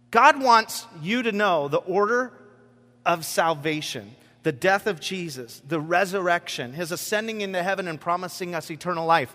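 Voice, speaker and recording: His tone is bright and sharp, his pitch high. This man moves at a moderate pace with lively intonation. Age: 40s. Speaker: pastor. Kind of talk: sermon. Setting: church with congregation. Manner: casual, filler-heavy delivery.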